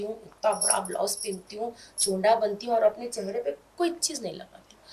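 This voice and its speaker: A woman with a Hyderabadi accent speaks at a fairly high pitch with lively intonation. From India, Hyderabad. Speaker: comedic social media video actress. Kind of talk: interview chat. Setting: studio, on camera. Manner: quiet off-camera, loud high-pitched in character.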